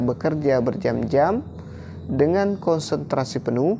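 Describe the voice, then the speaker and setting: A man speaks at a fairly slow pace while noticeable background noise plays behind him. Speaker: teacher exam-prep tutor. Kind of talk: tutorial.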